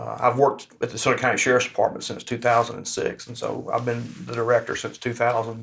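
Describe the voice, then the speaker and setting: With a Louisiana accent, a man talks at a very fast pace with hardly any pauses, his monotone, flat delivery marked by vocal fry and big swings in loudness. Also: medium pitch for a man. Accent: Southern US (Louisiana). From northern Louisiana (Bastrop), raised in Mississippi from age 13. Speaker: local politician and jail director. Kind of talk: casual interview.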